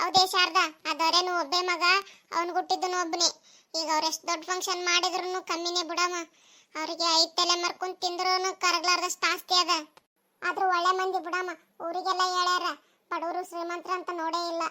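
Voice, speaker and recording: A woman's cartoonish character voice, extremely high in pitch, monotone and flat in intonation, at a moderate pace. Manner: chatty, matter-of-fact.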